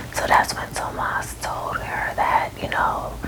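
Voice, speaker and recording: Over noticeable background noise, a woman whispers very slowly. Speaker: ASMR storyteller. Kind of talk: ASMR movie recap ramble. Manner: whispered.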